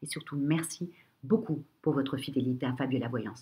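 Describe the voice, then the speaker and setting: A woman's very deep, low voice, somewhat breathy, dark and mellow in tone, at a moderate pace. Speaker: astrologer. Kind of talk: horoscope reading. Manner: hesitant, many fillers.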